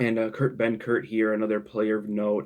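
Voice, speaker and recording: A quiet man's voice, fairly low in pitch, with monotone, flat intonation at a moderate pace, in a very clean recording with a silent background. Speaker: sports YouTuber. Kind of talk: casual commentary. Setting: home at night. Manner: halting.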